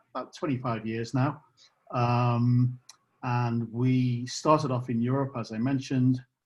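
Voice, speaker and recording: Speaking in a British accent, a man talks at a moderate pace and medium pitch, somewhat breathy and monotone. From UK. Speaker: company co-founder. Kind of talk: live product demonstration. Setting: video call.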